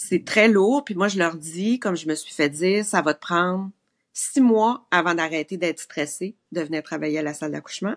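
A woman with a Quebec accent speaks against a quiet background. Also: fairly low pitch for a woman, ordinary pitch variation, moderate pace. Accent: Québécois French. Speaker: maternity nurse; guest. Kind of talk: casual chat. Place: home room. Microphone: video call.

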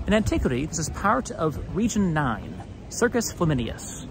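A man's voice with very wide pitch swings, dry and echo-free, over noticeable background noise. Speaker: history video host. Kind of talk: walking tour commentary. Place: street. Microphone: phone near.

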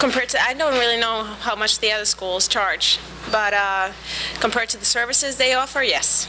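A woman speaks at a moderate pace with a fairly high pitch and ordinary pitch variation. Background noise is clearly audible.

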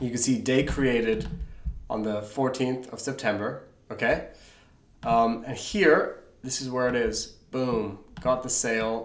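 With audible room echo, a man speaks at a fairly slow pace, using fairly even intonation and long, frequent pauses. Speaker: online seller tutor. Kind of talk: tutorial. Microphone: webcam.

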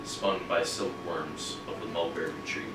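Audible room echo and noticeable background noise surround a man who talks very slowly. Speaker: poet at a reading. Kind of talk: poetry reading with chatty intros. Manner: casual, conversational between poems. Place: shop.

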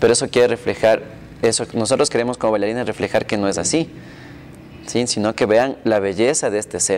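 A man speaks at a fairly quick pace and with fairly even intonation, light background noise underneath. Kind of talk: interview answer. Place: home room. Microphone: lapel.

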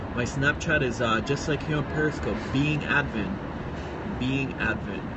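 Loud background noise fills the space while a woman keeps to a moderate pace. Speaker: live streamer. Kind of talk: casual livestream chat with viewers. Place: home room. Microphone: phone near.

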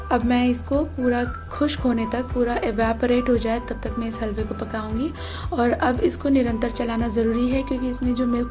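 The speaking pace is fairly slow. Music is clearly audible behind it. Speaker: home cook vlogger. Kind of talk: cooking tutorial. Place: kitchen.

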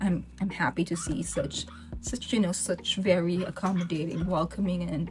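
Clear background noise runs under speech delivered at a medium speed. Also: woman. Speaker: reaction video host. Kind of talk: casual vlog chat. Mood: warm, enthusiastic. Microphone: webcam.

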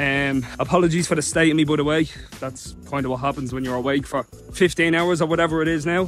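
A man's voice sounds dry without any echo as faint music plays in the background. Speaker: social media creator. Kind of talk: casual vlog chat. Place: street. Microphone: phone near.

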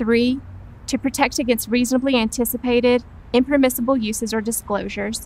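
A woman's fairly quick speech with a dry sound and no echo. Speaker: presenter. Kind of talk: scripted training presentation. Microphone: lapel.

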